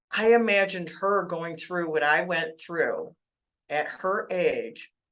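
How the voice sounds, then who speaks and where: A woman's ordinary speaking voice at medium pitch, fairly slow in pace, with lively intonation. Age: 60s. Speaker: author on childhood trauma. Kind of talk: interview. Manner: conversational.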